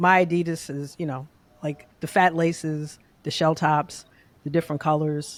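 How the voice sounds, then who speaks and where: Woman with a New York accent, very deep and low in pitch, monotone and flat in intonation, with long, frequent pauses. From New York City, Queens. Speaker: database engineer. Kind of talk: casual chat. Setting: podcast recording.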